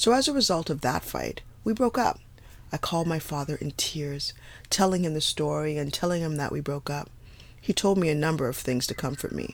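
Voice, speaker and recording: Fairly quick speech comes from a woman. Her pitch is very deep and low. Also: lively intonation. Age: 40s. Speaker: podcast host and blogger. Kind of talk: personal storytelling, partly reading her blog. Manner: unedited, conversational.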